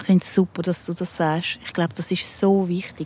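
This woman has a Zurich accent and a medium-pitched voice. She talks at a moderate pace with monotone, flat intonation. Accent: Zurich Swiss German. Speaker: rock musician. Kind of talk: casual chat. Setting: outdoors.

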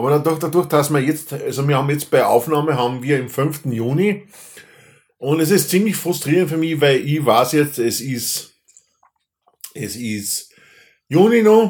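With an Austrian accent, a man speaks in a fairly high voice with lively intonation and long, frequent pauses. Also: fairly slow pace. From Austria, Upper Austria (Linz). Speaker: podcast host. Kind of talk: casual chat. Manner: halting.

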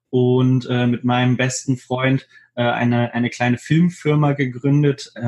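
A man talks at a very slow pace. His voice is medium in pitch and monotone, with flat intonation. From Hannover, Germany. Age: 20s. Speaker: videographer and photographer. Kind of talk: interview.

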